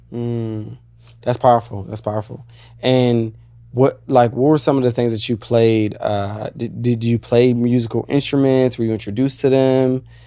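A man's medium-pitched, dark, mellow voice with monotone, flat intonation at a moderate pace. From Virginia. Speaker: podcast host. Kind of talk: casual interview chat.

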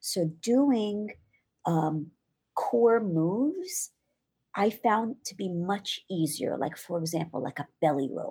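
Speaking very slowly, a woman has a medium-pitched, somewhat breathy voice with a dark, mellow tone. Her pitch swings very widely. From Israel. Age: 40s. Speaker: belly dancer and fitness instructor. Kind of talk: interview.

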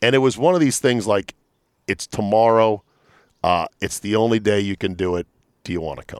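A man speaks loudly at a fairly quick pace with a fairly low pitch and long, frequent pauses. The sound is dry and close, with no echo. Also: ordinary pitch variation. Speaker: radio host. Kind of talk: casual chat. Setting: outdoors.

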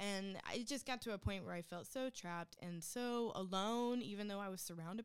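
Speaking at a fairly quick pace, a woman uses an ordinary speaking voice of medium pitch with ordinary pitch variation. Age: 20s. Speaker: guest co-host. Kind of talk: casual chat.

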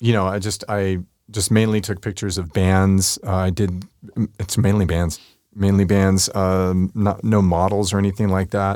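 A man with a normal speaking voice talks at a fairly slow pace in a fairly low pitch. The recording is very clean, with a silent background. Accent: American. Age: 50s. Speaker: street photographer. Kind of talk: interview. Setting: studio.

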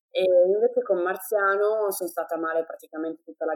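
A woman with an ordinary speaking voice and a fairly low pitch talks at a fairly quick pace, the sound dry and close with no echo. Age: 20s. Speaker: mother sharing birth stories. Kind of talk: testimony.

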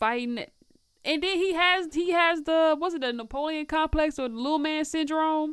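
A woman's high-pitched voice with an American accent and ordinary pitch variation. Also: moderate pace, very clean recording, silent background. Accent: Southern US, comes and goes. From Tennessee. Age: 20s. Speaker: media personality and recording artist. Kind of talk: casual interview chat.

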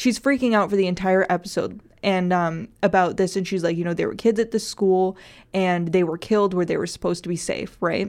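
An American-accented woman's voice at medium pitch with fairly even intonation, in a very clean recording with a silent background. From North Dakota, US Midwest. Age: 20s. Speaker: student radio host and journalist. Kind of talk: casual chat. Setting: radio studio.

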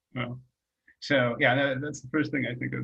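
A man's fairly high voice comes across as somewhat breathy. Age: 40s. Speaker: film writer. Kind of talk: casual chat.

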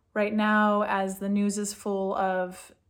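A woman's medium-pitched voice with an American accent and monotone, flat intonation, on a very clean recording with a silent background. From California. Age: 40s. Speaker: food and mood coach. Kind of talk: solo talk to camera with guided exercise. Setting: home office in a bomb shelter.

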